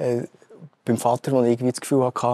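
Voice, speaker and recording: A man speaks with a Swiss accent at a medium pitch, his tone dark and mellow. The sound is dry and close, with no echo. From Switzerland. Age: young. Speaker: tech company CEO. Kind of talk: interview. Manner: halting, many fillers.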